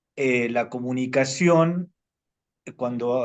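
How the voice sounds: A man speaks at medium pitch with a slightly mellow tone. His pitch varies in an ordinary way.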